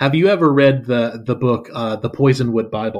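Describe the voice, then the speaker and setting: A man's medium-pitched voice at a fairly quick pace, against a quiet background. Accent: Southern US. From US South. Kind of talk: casual interview conversation.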